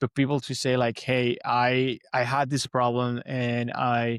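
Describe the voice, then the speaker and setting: On a very clean recording with a silent background, a man with a Spanish accent talks at medium pitch in a dry, close sound with no echo. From Venezuela. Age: 30s. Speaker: podcaster and motivational coach. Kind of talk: interview conversation. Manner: halting, many fillers and repeats.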